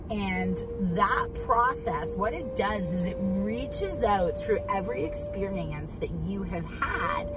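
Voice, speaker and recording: Clear music plays in the background as a woman speaks at a very slow pace. The sound is dry, with no echo. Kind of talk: casual vlog chat, guided instruction. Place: car. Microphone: phone near.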